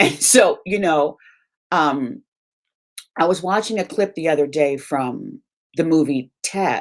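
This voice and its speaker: Her voice is warm in tone and fairly low in pitch, and this woman's intonation is lively. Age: 50s. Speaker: beauty and colorism vlogger. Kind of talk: personal vlog monologue. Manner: warm, conversational.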